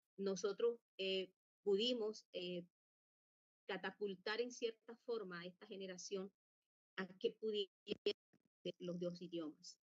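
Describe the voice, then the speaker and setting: With long, frequent pauses, a woman talks at a very slow pace and medium pitch with fairly even intonation. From Colombia, La Guajira (Wayuu people). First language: Wayuunaiki (speaking Spanish). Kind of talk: conference talk. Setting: virtual conference. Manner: halting, many fillers.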